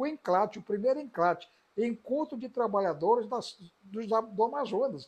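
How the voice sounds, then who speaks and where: Delivered at a moderate tempo, the talk shows ordinary variation in pitch. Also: man. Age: 60s. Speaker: politician and professor. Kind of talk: interview testimony.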